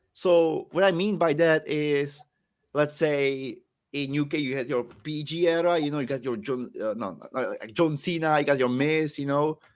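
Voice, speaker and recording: With a Czech accent, a man talks at a moderate pace, his pitch fairly high and its variation ordinary. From Czech Republic. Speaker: professional wrestler. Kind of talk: podcast interview.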